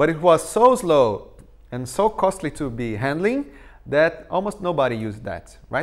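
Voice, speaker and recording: A man with a Portuguese accent talks at a moderate pace in a fairly high voice. His pitch swings very widely on a very clean recording with a silent background. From Brazil. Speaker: tech conference speaker. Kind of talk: technical talk.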